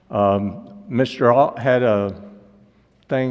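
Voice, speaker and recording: With an American accent and ordinary pitch variation, the voice carries audible room echo. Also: man. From Michigan, Dowagiac. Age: 70s. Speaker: resident giving public comment. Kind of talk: public comment at council meeting. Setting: auditorium, public meeting.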